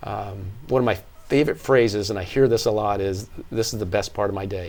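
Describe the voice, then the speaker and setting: A man with an unremarkable speaking voice, fairly low-pitched, with fairly even intonation and a fairly quick pace. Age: 60s. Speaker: fitness studio owner. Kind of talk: interview.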